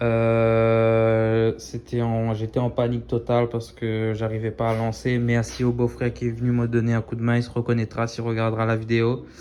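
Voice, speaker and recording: Fairly slow in pace, this speech carries a dark, mellow tone. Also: man. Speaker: DIY maker. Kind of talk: workshop tutorial. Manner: casual, hesitant with many fillers.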